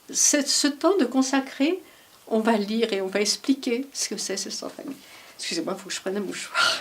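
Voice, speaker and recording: A woman's high voice rises and falls with lively intonation and big swings in loudness at a moderate pace, over noticeable background noise. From Paris region, France. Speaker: daughter of a resistance fighter. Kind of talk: testimony. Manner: halting.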